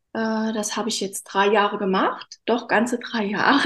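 This woman has a fairly high pitch. She talks at a fairly slow pace. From Hunsrück, Rhineland-Palatinate, Germany. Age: 40s. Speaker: bereaved guest, former banker. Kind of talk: personal testimony in interview. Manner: halting, many fillers.

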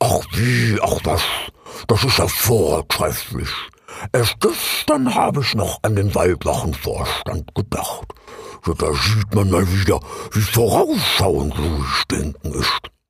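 A man in a put-on character voice, fairly low in pitch, at a fairly slow pace with long, frequent pauses. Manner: groaning, panting.

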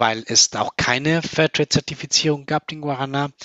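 A man is talking. He has a Spanish accent. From Colombia. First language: Spanish (speaking German). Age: 30s. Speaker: company founder. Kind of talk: interview. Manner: hesitant with many fillers.

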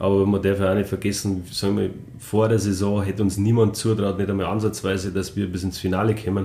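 In a Bavarian accent, a man speaks at a very fast pace with a fairly low pitch, a dark, mellow, somewhat breathy tone and flat, monotone intonation. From Rosenheim, Upper Bavaria, Germany. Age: 40s. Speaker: former ice hockey player. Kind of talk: casual interview.

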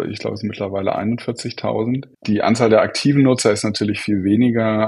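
A man speaks in a fairly low pitch. His is an unremarkable speaking voice. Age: 40s. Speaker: software entrepreneur. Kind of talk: interview.

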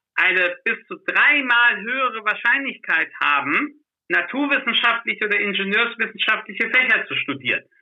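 Here a man speaks with an extremely high pitch. He keeps a moderate pace. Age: young. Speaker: startup founder and lecturer. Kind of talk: interview. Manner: halting with many fillers.

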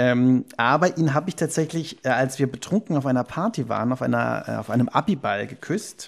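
Delivered at a moderate pace in a normal speaking voice, the speech has ordinary pitch variation on a very clean recording with a silent background. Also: man. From Cologne, western Germany. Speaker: diary slam performer. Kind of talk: reading aloud from own diary; casual interview chat.

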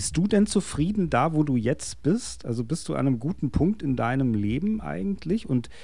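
A man speaks at a moderate pace in a dark, mellow tone, his pitch swinging very widely. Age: 50s. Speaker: podcast host. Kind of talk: casual chat.

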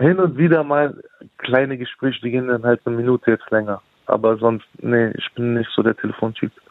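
A man with an unremarkable speaking voice at a fairly quick pace, with ordinary pitch variation. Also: medium pitch for a man. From Berlin, Kreuzberg. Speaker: rapper. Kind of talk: casual interview. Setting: phone call. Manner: relaxed.

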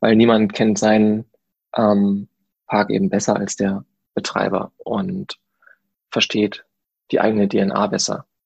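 A man speaking very slowly with long, frequent pauses, the sound dry and close with no echo. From Germany, Paderborn (Westphalia). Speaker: theme park designer. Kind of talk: interview. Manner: hesitant, many filler sounds.

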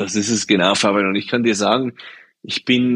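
A man with a plain, everyday voice speaks at a medium pitch with fairly even intonation, the sound dry and close with no echo. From Swiss Alps. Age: 40s. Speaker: shoe company co-founder. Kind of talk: interview.

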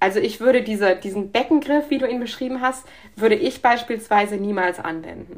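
A woman's normal speaking voice, fairly high in pitch, with lively intonation and a fairly quick pace. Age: 30s. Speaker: emergency physician. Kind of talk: interview.

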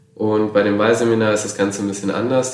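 With fairly even intonation and a fairly low pitch, a man speaks in a room with audible echo and noticeable background noise. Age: 20s. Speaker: volunteer in a voluntary social year. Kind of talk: casual interview. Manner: hesitant with frequent fillers.

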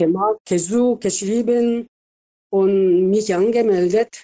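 A woman speaks in a Korean accent at a medium pitch. Her intonation stays fairly even. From South Korea. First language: Korean (speaking German). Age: 70s. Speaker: retired nurse. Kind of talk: interview. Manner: halting.

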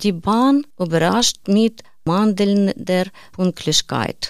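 A woman's medium-pitched voice at a very slow pace, with ordinary pitch variation. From Ukraine. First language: Ukrainian or Russian (speaking German). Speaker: refugee, course participant. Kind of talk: reading aloud.

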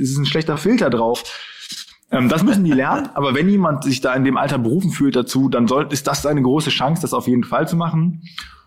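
Noticeable background noise sits behind a man speaking. He has a fairly high pitch and a fairly quick pace. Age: 20s. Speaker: influencer agency owner. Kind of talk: interview.

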